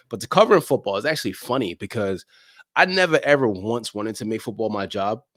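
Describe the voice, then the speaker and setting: Lively intonation and big swings in loudness mark this man's medium-pitched voice. He talks at a very fast pace on a very clean recording with a silent background. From London, England (Nigerian heritage). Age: 30s. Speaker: football media personality. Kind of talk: podcast interview.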